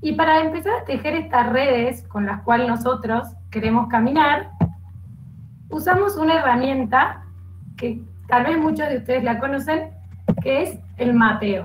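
With music in the background, a woman speaks at a fairly slow pace with long, frequent pauses, her high pitch showing ordinary pitch variation. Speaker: program coordinator, psychopedagogue. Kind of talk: live online panel discussion. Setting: video call.

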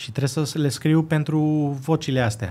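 A man's voice sits fairly high and sounds somewhat breathy. He talks at a moderate pace. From Greece, Athens, Romanian parents; Greece. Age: 20s. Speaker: violinist and composer; guest. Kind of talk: casual interview. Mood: calm, reflective. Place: studio. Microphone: studio mic.

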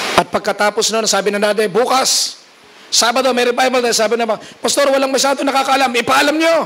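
Rattling along at a very fast pace, a man with an animated tone speaks at an extremely high pitch, with ordinary pitch variation and very even loudness. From Philippines. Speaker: preacher. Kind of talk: revival sermon. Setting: church conference with audience. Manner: animated, exhortative preaching; mixes humor with urgent calls to faith, Taglish. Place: church. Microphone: handheld.

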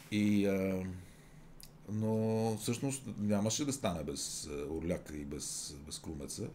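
Amid audible room echo, a man speaks at a very slow pace with a fairly low pitch and very wide pitch swings. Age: 50s. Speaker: radio host. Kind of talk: casual chat.

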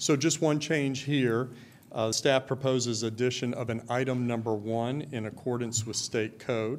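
A man at a moderate pace, medium in pitch, with fairly even intonation. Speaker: school district chief operations officer. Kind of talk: formal briefing at board meeting. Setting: public meeting hall. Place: hall. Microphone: podium.

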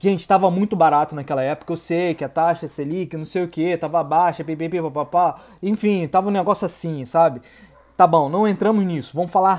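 With fairly even intonation, a man talks in a high-pitched voice. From Rio de Janeiro, Brazil. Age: 30s. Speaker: YouTuber giving civil service exam advice. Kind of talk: casual vlog monologue. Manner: hesitant, many fillers. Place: home room. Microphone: earbuds.

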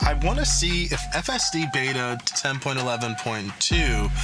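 Clear music fills the background. Over it, a man talks. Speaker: car vlogger. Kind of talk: casual vlog chat. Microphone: phone near.

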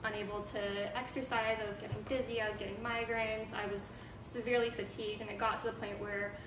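Music plays in the background as a woman talks at a very fast pace with monotone, flat intonation. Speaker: guest. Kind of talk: interview answer. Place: home room. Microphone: camera far.

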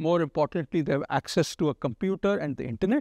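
At a moderate pace, a man speaks in a dry sound with no echo and a quiet background. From India. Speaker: talk show host. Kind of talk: interview. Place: studio. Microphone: lapel.

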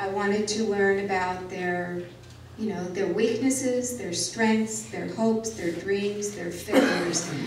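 A woman with an American accent speaks very slowly at a medium pitch with fairly even intonation. Room echo is audible, and there is noticeable background noise. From rural Arizona, near Prescott; Arizona. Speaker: journalist and author; journalist. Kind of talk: public talk. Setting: talk with audience, microphone. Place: hall.

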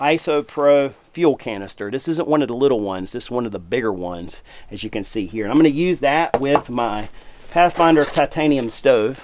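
A man talks at a fairly quick pace with lively intonation. Light background noise sits behind him. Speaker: outdoor cooking host. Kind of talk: tutorial.

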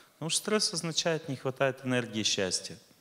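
This man has a bright, sharp tone and ordinary pitch variation. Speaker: lecturer. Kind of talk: lecture. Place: stage. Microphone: studio mic.

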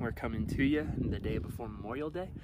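A man talks at a fairly quick pace with lively intonation. The sound is dry with no echo, and there is noticeable background noise. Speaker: channel host. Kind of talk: casual talk to camera. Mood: upbeat, warm. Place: garden. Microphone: phone near.

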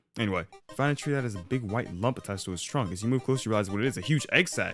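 Faint music plays in the background while a man talks at a very fast pace with ordinary pitch variation. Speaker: gaming youtuber. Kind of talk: gameplay commentary. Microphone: studio mic.

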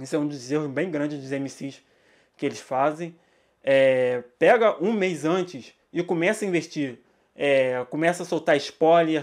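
Against a quiet background, a man talks at a fairly slow pace, fairly high in pitch with ordinary pitch variation. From Brazil, São Gonçalo (Rio de Janeiro); Rio de Janeiro, Brazil. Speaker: music journalist and social media manager; hip-hop course teacher. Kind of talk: lecture. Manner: casual, slangy. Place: home room. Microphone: studio mic.

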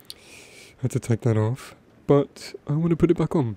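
A man speaks softly with a dark, mellow tone. The sound is dry and close, with no echo. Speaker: ASMR creator. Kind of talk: soft-spoken ASMR talk. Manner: soft-spoken.

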